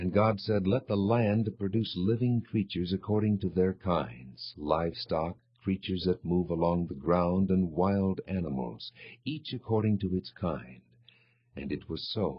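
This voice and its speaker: This man talks at a fairly slow pace with a very deep, low pitch. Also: lively intonation. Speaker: voice actor. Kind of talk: audio Bible reading. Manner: clear, precise articulation.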